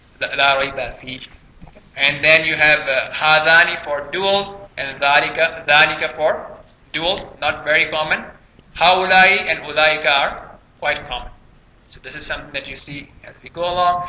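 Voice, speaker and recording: Fairly even intonation at a moderate pace, with big swings in loudness and audible room echo. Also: man. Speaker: Arabic grammar teacher. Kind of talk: lecture.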